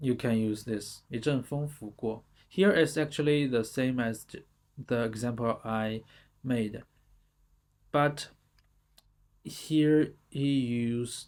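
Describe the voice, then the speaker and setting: Spoken at a very slow pace with long, frequent pauses, this voice has a Chinese accent on a very clean recording with a silent background. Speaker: language teacher. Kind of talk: tutorial. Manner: halting.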